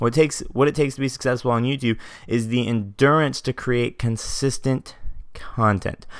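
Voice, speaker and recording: Over a silent background in a very clean recording, a man talks at a fairly quick pace. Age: 20s. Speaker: podcast host and YouTube consultant. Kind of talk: casual monologue. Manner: energetic.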